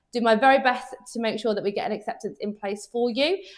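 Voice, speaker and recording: Very fast talk from a woman with fairly high pitch and a slight Birmingham accent. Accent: slight Brummie (Birmingham). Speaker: underwriter at car finance firm. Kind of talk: Q&A chat.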